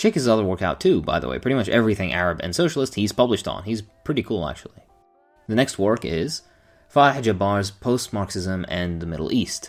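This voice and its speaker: A man's fairly low voice, very fast and lively in intonation, with music playing behind it. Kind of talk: book review talk to camera. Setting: echoey empty room.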